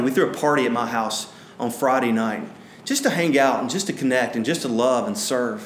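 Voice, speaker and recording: Very fast and full of lively intonation, this man's speech sits at a medium pitch. Noticeable background noise runs beneath him. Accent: Alabama. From US South, north Alabama. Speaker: pastor. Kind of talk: sermon. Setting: church. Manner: halting, many fillers.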